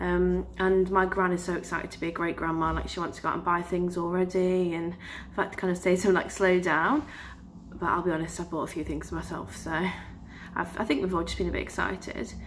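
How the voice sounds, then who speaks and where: Audible room echo surrounds a woman who talks at a very fast pace. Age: 20s. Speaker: vlogger. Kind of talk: casual vlog talk. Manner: hesitant, many filler sounds.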